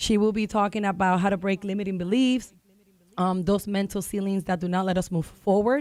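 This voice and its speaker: A woman speaks with a Spanish accent in an animated tone, with a medium pitch and a fairly quick pace. The recording is very clean, with a silent background. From Dominican Republic. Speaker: realtor. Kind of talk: radio talk show guest promoting an event.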